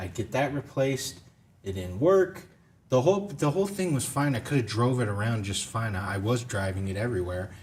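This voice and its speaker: Loud and animated, a man talks fairly quickly at a medium pitch with very wide pitch swings. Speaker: game review show host. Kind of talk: casual chat. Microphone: audio issues.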